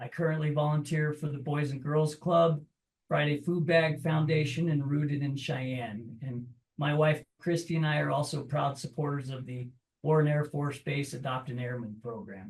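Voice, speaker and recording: A man with an American accent speaks in a fairly high, somewhat breathy voice. His intonation stays fairly even. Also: moderate pace. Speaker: political candidate. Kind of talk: candidate forum introduction.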